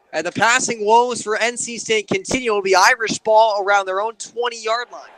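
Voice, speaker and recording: A man's raised, projected voice, bright and sharp in tone, moves at a moderate pace. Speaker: sports play-by-play broadcaster. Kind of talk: live football radio play-by-play.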